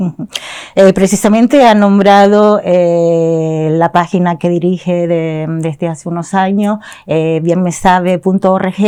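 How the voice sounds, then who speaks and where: In an unremarkable speaking voice, a woman speaks at a fairly slow pace. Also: fairly low pitch for a woman, fairly even intonation. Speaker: interviewer, program host. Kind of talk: interview questions.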